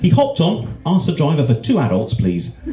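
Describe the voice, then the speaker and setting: In a Dorset accent, a man's voice makes very wide pitch swings, with audible room echo and noticeable background noise. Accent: Dorset accent, noticeable in Wales. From southwest England, Dorset. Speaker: comedian. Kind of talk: stand-up. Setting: stage with audience. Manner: casual, hesitant with fillers.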